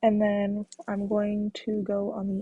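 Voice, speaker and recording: A somewhat breathy woman's voice, fairly high in pitch, in a dry, close sound with no echo. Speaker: makeup vlogger. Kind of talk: makeup tutorial. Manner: casual, hesitant with fillers.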